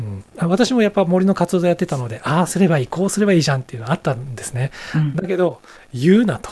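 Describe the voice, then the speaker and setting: A dark, mellow tone at a very fast pace, with lively intonation and big swings in loudness. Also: man, high pitch for a man. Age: 50s. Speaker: business consultant and executive coach. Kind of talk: interview.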